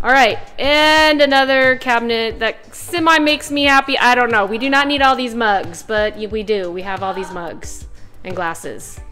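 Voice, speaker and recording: A woman's high-pitched voice at a moderate pace with hardly any pauses, faint music in the background. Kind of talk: casual vlog chat. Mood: cheerful, excited. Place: kitchen. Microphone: phone near.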